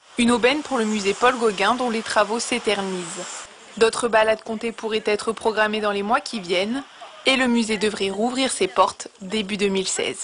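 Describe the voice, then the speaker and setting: Noticeable background noise runs under the recording. A woman speaks with a fairly high pitch. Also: fairly even intonation, moderate pace. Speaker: TV news reporter. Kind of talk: TV news report narration.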